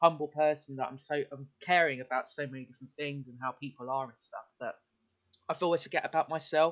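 Speaking at a fairly quick pace, a man with an English accent keeps a fairly high pitch and fairly even intonation. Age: 20s. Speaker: podcast guest. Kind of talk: casual chat.

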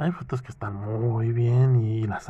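Somewhat breathy and dark, mellow in tone, the voice keeps a fairly even intonation over a quiet background. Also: man. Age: 30s. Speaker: podcaster. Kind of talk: casual monologue. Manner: halting.

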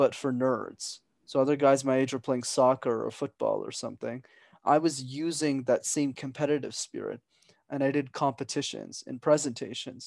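A man with a fairly high pitch for a man, monotone, flat intonation and a moderate pace, in a dry, close sound with no echo against a quiet background. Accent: Canadian. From Montreal, Quebec. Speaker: business consultant and public speaker. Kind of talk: podcast interview.

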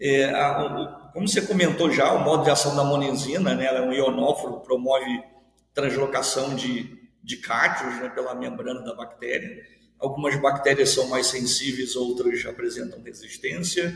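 A man talks at a moderate pace in a fairly high pitch with ordinary pitch variation. Audible room echo surrounds his voice. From Rio de Janeiro, Baixada Fluminense. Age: 50s. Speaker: university professor. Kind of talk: interview. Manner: long-winded.

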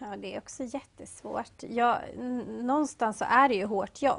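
Against a quiet background, a woman with an ordinary speaking voice talks at a fairly slow pace with ordinary pitch variation. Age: young. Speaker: café and bakery owner. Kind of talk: interview.

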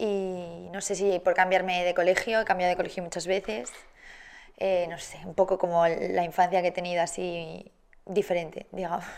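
At a moderate pace, a woman with a fairly low voice speaks in a monotone, flat intonation, with big swings in loudness. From Spain, Barcelona and Madrid. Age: 20s. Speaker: TV presenter and content creator. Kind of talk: casual interview.

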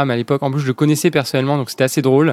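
A man's voice sits at a medium pitch. The recording is dry and close, without any echo. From southern France, La Ciotat (Provence). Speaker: startup founder. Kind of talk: interview.

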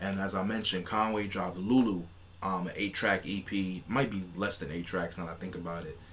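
Amid audible room echo, a man with a very deep, low pitch speaks at a moderate pace with fairly even intonation. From New York City. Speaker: podcast co-host. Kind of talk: casual chat.

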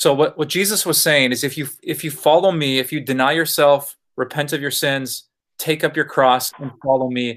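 A man's fairly high voice, a plain, everyday voice, at a moderate pace with fairly even intonation, on a very clean recording with a silent background. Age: 40s. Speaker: pastor. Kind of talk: casual chat.

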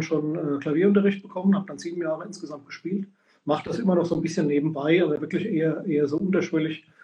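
A man's dark, mellow tone at fairly high pitch, with fairly even intonation. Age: 50s. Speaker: sport shooter and shooting coach. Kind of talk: casual chat. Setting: livestream.

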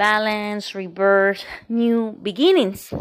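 In a Spanish accent, a woman talks at a very slow pace with fairly even intonation and a medium pitch, on a very clean recording with a silent background. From Colombia. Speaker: podcast host, empowerment coach and Reiki practitioner. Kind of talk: casual spiritual monologue.

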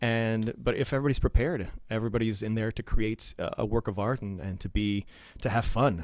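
A man's fairly quick, medium-pitched speech with ordinary pitch variation. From Ottawa, Canada. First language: French. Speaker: stage actor and performer. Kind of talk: interview chat.

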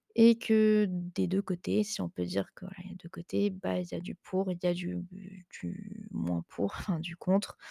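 This woman's delivery is fairly slow. There is no echo at all, and the sound is dry and close. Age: 20s. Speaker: online nutrition and fitness coach, podcast host. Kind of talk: casual solo chat. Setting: at home on the couch. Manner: hesitant, many fillers.

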